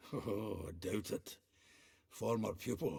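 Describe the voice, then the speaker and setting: A man's raspy, put-on character voice, fairly low in pitch and fairly slow in pace. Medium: video game. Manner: chatty, chuckling, conspiratorial.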